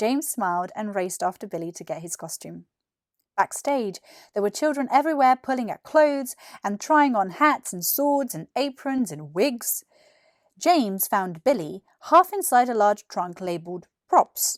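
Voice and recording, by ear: The sound is dry and close, with no echo. Pitch swings widely at a fairly slow pace. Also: woman, medium pitch for a woman, very clean recording, silent background.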